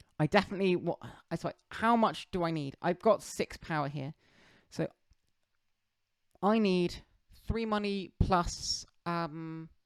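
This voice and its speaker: Speaking at a fairly slow pace with long, frequent pauses, a woman has a fairly low pitch and ordinary pitch variation, in a very clean recording with a silent background and a dry, close sound with no echo. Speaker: board game streamer. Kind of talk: gameplay commentary. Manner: halting.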